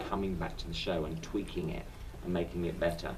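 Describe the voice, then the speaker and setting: A man talks at a fairly quick pace with a London accent, his pitch swinging very widely. Room echo is audible, and background noise is noticeable. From southern England. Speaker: stage actor. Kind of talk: interview.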